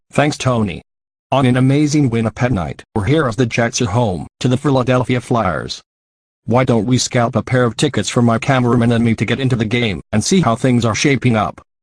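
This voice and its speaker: Using a put-on character voice, a man speaks at a medium pitch and a fairly quick pace with very even loudness. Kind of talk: parody TV reporter. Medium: comedy sketch.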